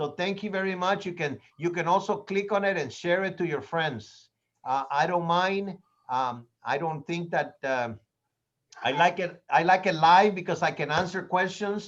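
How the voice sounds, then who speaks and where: A man with a Spanish accent, high-pitched and animated, at a moderate pace over a quiet background. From Latin America. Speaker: real estate trainer. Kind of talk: training class.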